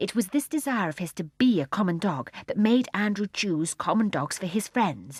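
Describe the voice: Reading aloud, plain and simple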